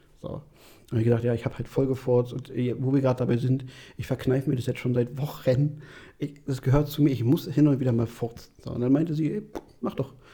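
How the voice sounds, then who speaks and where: A man speaks at a very fast clip in a medium pitch, his voice somewhat breathy. The tone is dark and mellow. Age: 30s. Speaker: podcast host. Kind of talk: casual chat.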